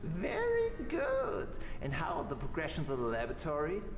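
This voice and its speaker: The speaker uses a put-on character voice. Loud background noise is present. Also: moderate pace. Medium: machinima. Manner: gloating.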